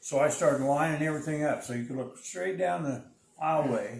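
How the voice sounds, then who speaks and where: Noticeable background noise sits behind a man whose pitch variation is ordinary. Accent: American. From United States, Illinois. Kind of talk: interview answer.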